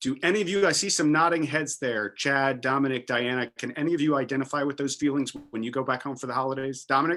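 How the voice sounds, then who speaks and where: Very fast and with hardly any pauses, a man talks in an American accent. His bright, sharp tone sits at a fairly high pitch with ordinary pitch variation. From US South, rural Virginia. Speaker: panel moderator. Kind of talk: panel discussion. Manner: animated.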